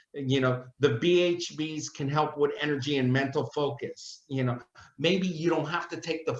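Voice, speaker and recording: This man has a normal speaking voice with a fairly high pitch. He talks at a moderate pace. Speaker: company product representative. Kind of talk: casual chat. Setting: video call.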